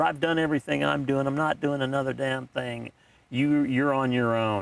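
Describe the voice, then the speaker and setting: Ordinary pitch variation carries the voice along at a moderate pace. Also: man. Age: 60s. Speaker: podcast co-host, father of co-host. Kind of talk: casual chat. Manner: halting.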